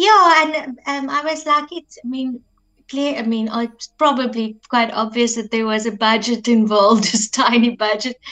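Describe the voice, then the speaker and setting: Speaking at a moderate pace with big swings in loudness, a woman with an Afrikaans accent uses a high pitch and a bright, sharp tone. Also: ordinary pitch variation. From South Africa, Afrikaans-speaking. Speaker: singer-songwriter. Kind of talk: interview.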